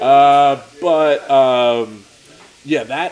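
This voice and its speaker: The man's intonation stays fairly even as noticeable background noise goes on around him. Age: 30s. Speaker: podcast host and videographer. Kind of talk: casual chat. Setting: diner.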